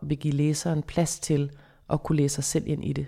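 A woman talks at a moderate pace, and the recording is very clean with a silent background. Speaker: psychologist and author. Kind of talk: interview. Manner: clear, distinct articulation.

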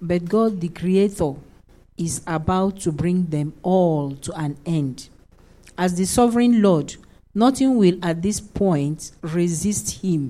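A woman's dark, mellow tone at a very slow pace. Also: fairly low pitch for a woman, ordinary pitch variation. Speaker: Bible study participant. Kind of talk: reading aloud.

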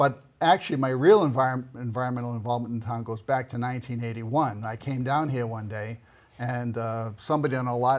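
Speaking with an American accent at medium pitch, a man has a plain, everyday voice. He moves at a fairly quick pace with hardly any pauses. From Boston area, Massachusetts. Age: 60s. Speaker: local election candidate. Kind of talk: interview.

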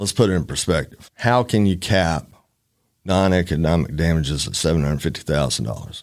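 A man with an Alabama accent speaks at a fairly quick pace in a very deep, low pitch, in a very clean recording with a silent background. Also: lively intonation. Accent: Southern US (Alabama). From US South, northern Alabama. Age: 50s. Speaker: trial attorney. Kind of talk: casual interview.

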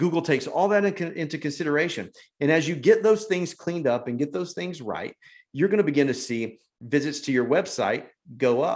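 A man with an American accent at a fairly quick pace, a normal speaking voice with lively intonation. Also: fairly high pitch for a man, quiet background. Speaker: church marketing consultant, former youth pastor. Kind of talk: webinar presentation. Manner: casual, with filler words.

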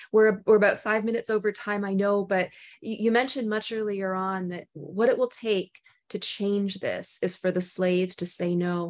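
A woman speaks with a Canadian accent and fairly even intonation in an unremarkable speaking voice. The recording is very clean, with a silent background. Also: medium pitch for a woman, moderate pace. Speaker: podcast host. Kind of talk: interview.

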